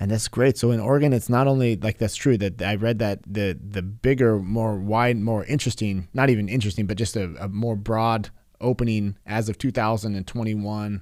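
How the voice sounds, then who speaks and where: In a very clean recording with a silent background, a man with a West Coast accent speaks fairly low and fairly quickly with fairly even intonation. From California. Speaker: podcast host. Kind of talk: casual interview conversation. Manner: halting, many fillers and restarts.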